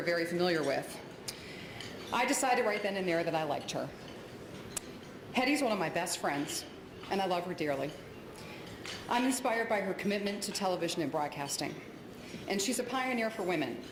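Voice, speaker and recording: A woman with an American accent speaks at a fairly quick pace with lively intonation and long, frequent pauses. Audible room echo and noticeable background noise surround her. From Ohio. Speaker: television news colleague. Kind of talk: award ceremony speech.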